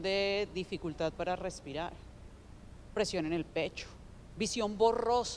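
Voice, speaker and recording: In a Colombian accent, a woman talks at a fairly slow pace. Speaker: digital development founder, panelist. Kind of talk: conference talk.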